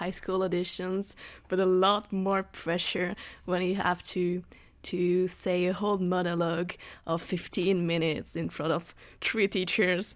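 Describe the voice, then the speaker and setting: A woman with a non-native accent speaks at a fairly slow pace and medium pitch in a very clean recording with a silent background. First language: not English. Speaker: student actor. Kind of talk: casual chat. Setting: studio.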